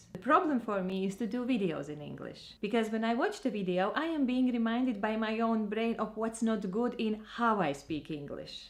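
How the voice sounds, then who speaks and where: A woman's fairly high voice in a strong Eastern European accent, with ordinary pitch variation. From Latvia. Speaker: vlogger and trainer. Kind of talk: personal vlog monologue.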